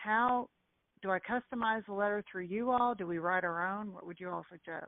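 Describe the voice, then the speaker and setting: A woman speaks with a Kentucky accent at a medium pitch and a moderate pace. Her pitch variation is ordinary, with big swings in loudness. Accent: Kentucky Southern. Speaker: real estate agent. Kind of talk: call-in question on a group call.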